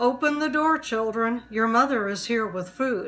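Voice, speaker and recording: Using a gruff, put-on character voice, a woman speaks at a moderate pace and a fairly high pitch. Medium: read story. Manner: wheedling, deceitful.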